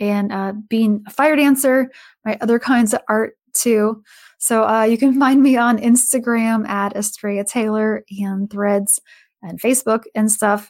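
With a normal speaking voice, a woman talks at a fairly slow pace and fairly high pitch, her intonation fairly even, on a very clean recording with a silent background. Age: 40s. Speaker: author and fire dancer. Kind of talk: interview.

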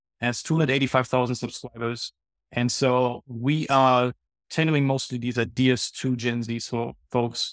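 Speaking in a German accent, a man with a medium-pitched voice talks at a moderate pace in a monotone, flat intonation. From Germany. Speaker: nonprofit CEO. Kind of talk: casual interview. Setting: video call.

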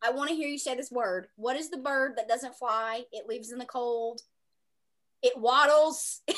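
On a very clean recording with a silent background, a woman with a Southern US accent speaks at a high pitch and moderate pace with ordinary pitch variation. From US South. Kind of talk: casual chat.

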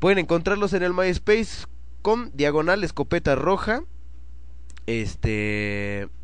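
In a relaxed tone, the speaker goes at a very slow pace with very wide pitch swings, long, frequent pauses and very even loudness. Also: man, fairly high pitch for a man. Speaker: internet radio host. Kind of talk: casual radio show chat. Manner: relaxed, slangy.

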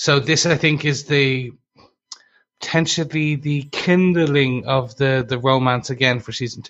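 A man with a normal speaking voice and a fairly high pitch speaks at a fairly slow pace, with fairly even intonation and big swings in loudness. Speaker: podcast host. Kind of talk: casual podcast chat reviewing a TV episode.

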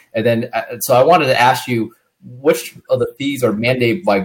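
A somewhat breathy man's voice at medium pitch, moderate pace and ordinary pitch variation. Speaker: real estate broker interviewer. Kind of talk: casual interview.

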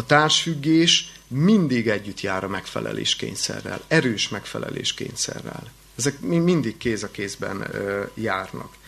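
A man's medium-pitched voice at a fairly slow pace, lively in intonation, over noticeable background noise. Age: 30s. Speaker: pastoral counselor and college lecturer. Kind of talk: lecture. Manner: halting, with repetitions.

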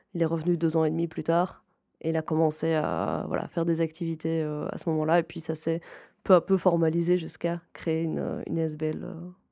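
At a moderate pace, a woman with a fairly low pitch and a dark, mellow tone speaks in a monotone, flat intonation on a very clean recording with a silent background. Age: 20s. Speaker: game facilitator at a nonprofit. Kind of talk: interview.

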